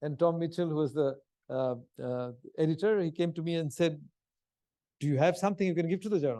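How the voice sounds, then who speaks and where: Here a man speaks very fast with a Bengali accent. His fairly high pitch carries a dark, mellow tone. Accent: Bengali Indian English. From India, Calcutta. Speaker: history professor. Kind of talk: lecture. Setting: stage with audience.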